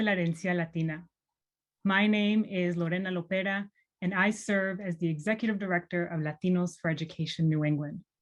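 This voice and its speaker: With a Spanish accent, a woman speaks at a moderate pace in a medium pitch, her pitch varying in an ordinary way. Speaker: nonprofit executive director. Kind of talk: welcome speech. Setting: virtual event.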